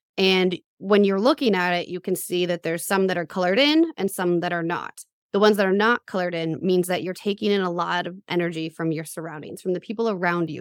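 The speaker has a normal speaking voice at a fairly quick pace. The sound is dry and close with no echo, a very clean recording with a silent background. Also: woman. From US, middle-class town, Puerto Rican father. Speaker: human design coach. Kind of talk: interview.

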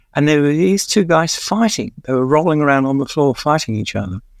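A man speaks with a London accent. His intonation is lively. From East London. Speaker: music journalist and author. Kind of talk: casual interview, storytelling.

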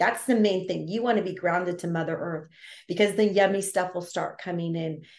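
A woman with an American accent speaks at a medium pitch in a dark, mellow tone, with ordinary pitch variation. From California, Carmel. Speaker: intuitive healer. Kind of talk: interview.

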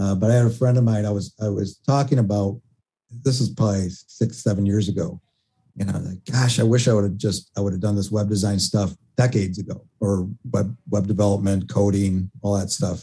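A man's fairly low, somewhat breathy voice with a dark, mellow tone, ordinary pitch variation and a fairly quick pace. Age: 50s. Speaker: web design agency owner. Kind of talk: interview.

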